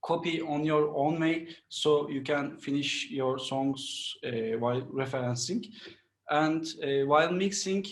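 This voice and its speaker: A man talks at a fairly slow pace with a Turkish accent. His pitch is fairly high. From Turkey, Istanbul. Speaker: mixing and mastering engineer. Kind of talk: interview. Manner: halting.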